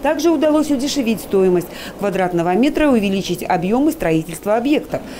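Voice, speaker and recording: Over noticeable background noise, a woman talks very fast at a fairly high pitch, her pitch swinging very widely while her loudness stays very even. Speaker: TV journalist. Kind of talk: scripted narration.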